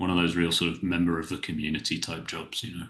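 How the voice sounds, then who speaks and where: A man's very deep, low voice with vocal fry and a bright, sharp tone against a quiet background. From southern England, near Salisbury. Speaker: professional coach. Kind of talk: casual podcast interview. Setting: home office, remote call.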